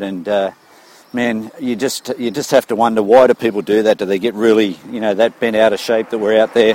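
A man with an Australian accent talks at a moderate pace in a medium pitch, his intonation fairly even, over noticeable background noise. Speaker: running coach, listener. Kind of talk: recorded voice message. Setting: recorded while walking. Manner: casual, friendly.

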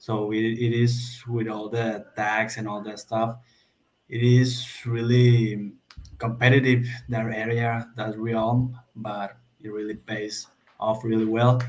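A man with a Spanish accent speaks at medium pitch and a very slow pace, his intonation monotone and flat. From Mexico. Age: 20s. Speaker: law student. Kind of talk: casual chat.

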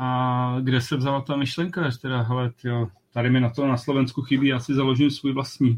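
A medium-pitched man talks at a fairly quick pace with monotone, flat intonation. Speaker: podcast host. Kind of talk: casual chat.

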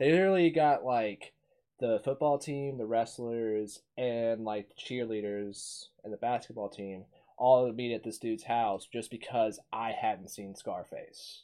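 A man with a normal speaking voice and an American accent, at a moderate pace with ordinary pitch variation. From US South. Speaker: podcast host. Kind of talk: casual chat.

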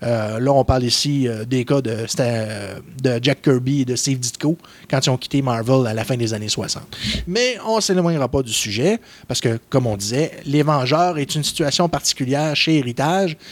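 With a Quebec accent, a man speaks at a medium pitch and a moderate pace. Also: ordinary pitch variation. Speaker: comic book columnist. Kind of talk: casual chat.

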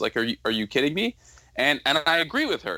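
In a very clean recording with a silent background, a man with an American accent speaks at a moderate pace in a bright, sharp tone, his pitch swinging very widely. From Southern California. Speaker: podcast co-host. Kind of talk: casual chat.

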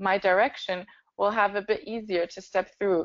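A woman with a German accent, medium pitch, fairly even intonation and a moderate pace. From Germany. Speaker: startup founder. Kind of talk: interview.

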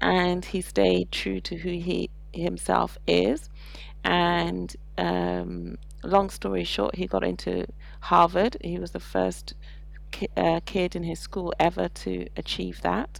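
A woman's very slow speech in a British accent. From England, with childhood in Saudi Arabia. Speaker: parent and expat. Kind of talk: casual interview.

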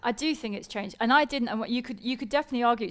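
A woman with a British accent speaks at a very fast pace. Her pitch is fairly high, with ordinary variation. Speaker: science presenter and co-host. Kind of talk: live stage conversation with audience. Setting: stage with audience.

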